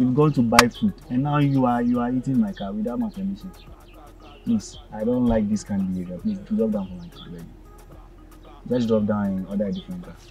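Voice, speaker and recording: Clear music plays in the background as a man speaks with big swings in loudness. The sound is dry, with no echo. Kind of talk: casual vlog chat. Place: car. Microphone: phone near.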